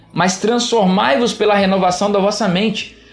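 Over noticeable background noise and audible room echo, a man with a high pitch talks at a moderate pace. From Minas Gerais, Brazil (Juiz de Fora). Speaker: pastor and podcast host. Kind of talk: solo podcast talk with sermon-like teaching. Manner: animated.

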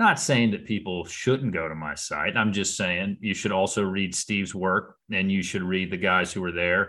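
With an American accent, a man speaks in a very deep, low pitch and a bright, sharp tone, his intonation fairly even. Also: moderate pace, quiet background. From South Carolina. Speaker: sports podcast host. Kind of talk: casual interview.

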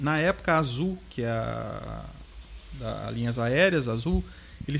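A man is speaking. His intonation is lively. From central Paraná, Brazil. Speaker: franchise school co-owner. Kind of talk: casual interview chat. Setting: studio.

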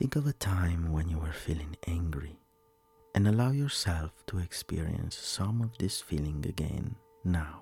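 A man with a very deep, low pitch and lively intonation speaks in a gentle, soothing, somewhat breathy tone on a very clean recording with a silent background. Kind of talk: guided meditation. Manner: slow, soothing and calm, with long pauses between instructions; soft-spoken, gentle and reassuring.

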